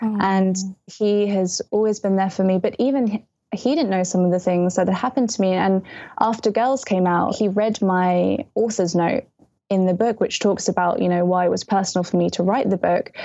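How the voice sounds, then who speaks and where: At a moderate pace and very even loudness, a woman speaks at a medium pitch. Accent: British. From England, early childhood in Malaysia. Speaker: young adult novelist. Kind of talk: casual interview chat. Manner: animated.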